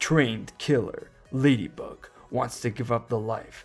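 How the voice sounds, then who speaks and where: A man puts on a character voice at a medium pitch and a moderate pace. Faint music sits in the background. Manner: dramatic.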